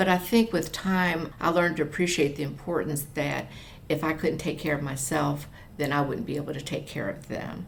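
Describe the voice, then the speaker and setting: A woman speaks at a moderate pace with a very deep, low pitch and ordinary pitch variation. Room echo can be heard. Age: 60s. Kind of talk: interview. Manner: halting, many fillers; conversational.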